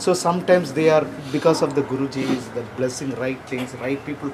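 Noticeable background noise behind a man's fairly high voice, moderate in pace and ordinary in pitch variation. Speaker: audience member asking question. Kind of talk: question to teacher.

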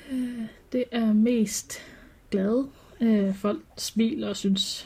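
A somewhat breathy woman's voice with a dark, mellow tone and fairly even intonation. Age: 20s. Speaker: clothing craftsperson and furry hobbyist. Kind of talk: personal interview, reflective testimony. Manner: halting, many hesitations.

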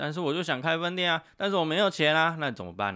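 A man puts on a whiny character voice at a fairly high pitch, talking at a very fast pace with ordinary pitch variation. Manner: mock whining, on the verge of tears.

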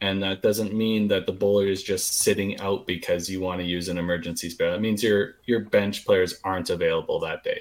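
A man with a normal speaking voice, fairly low pitch and fairly even intonation. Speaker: bowling podcast host. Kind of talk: casual chat.

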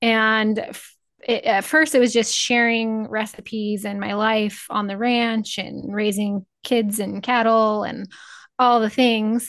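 A woman's fairly high, monotone voice with flat intonation and a Midwestern American accent, very slow in pace over a quiet background. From Northeast Nebraska. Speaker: cattle rancher and podcaster. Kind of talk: casual chat.

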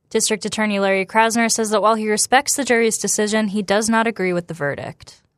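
A woman speaks very fast with hardly any pauses, her pitch fairly high and her intonation fairly even. The sound is dry and close, with no echo. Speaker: radio news anchor. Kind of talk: news reading. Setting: radio studio. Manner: polished, even, authoritative anchor delivery.

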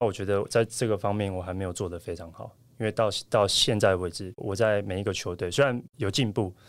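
A man speaks in an ordinary speaking voice at a fairly low pitch. His pace is fairly quick, with hardly any pauses and fairly even intonation. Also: very clean recording, silent background. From Taiwan. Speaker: professional volleyball player. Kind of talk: interview.

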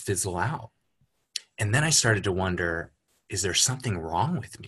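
A man with a Californian accent, lively intonation and a moderate pace against a quiet background. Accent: General American (Californian). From Los Angeles area, US. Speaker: coaching client. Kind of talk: casual interview.

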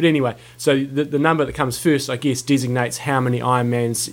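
Talking at a fairly quick pace, the man has a New Zealand accent. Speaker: podcast co-host, coach.

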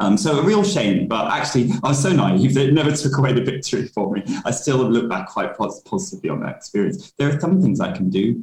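Rushing at a very fast pace with hardly any pauses, the voice swings very widely in pitch and shows vocal fry. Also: man. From London, England. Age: 30s. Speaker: diversity and inclusion consultant. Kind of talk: interview.

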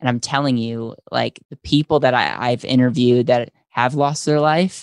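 An ordinary speaking voice from a man with an American accent, medium in pitch, with fairly even intonation, in a dry, close sound with no echo against a quiet background. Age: 20s. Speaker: financial services entrepreneur. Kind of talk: interview.

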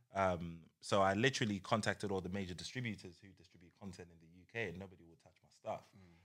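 Over a silent background in a very clean recording, a man with a very deep, low pitch talks at a moderate pace and fairly even intonation. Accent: British. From UK. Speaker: entrepreneur. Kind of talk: casual chat.

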